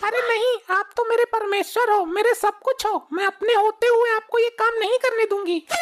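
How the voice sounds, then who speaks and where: A cartoonish character voice, female-sounding and extremely high-pitched, moves at a moderate pace with hardly any pauses. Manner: abrupt mood swings.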